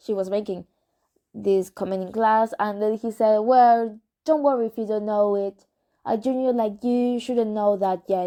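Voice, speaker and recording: A woman with a Spanish accent talks at a fairly slow pace, her fairly high voice carrying a dark, mellow tone. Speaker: amateur reader. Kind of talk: reading aloud. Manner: halting; normal voice, not whispered.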